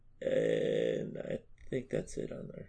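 A man with an American accent at a very slow pace. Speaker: podcast co-host. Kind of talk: casual banter chat.

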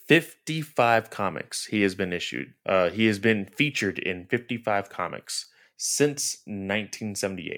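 In a very clean recording with a silent background, a man with a Southern US accent speaks at a fairly low pitch and moderate pace, with lively intonation and hardly any pauses. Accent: Southern US twang. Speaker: comic book podcast co-host. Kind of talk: casual chat.

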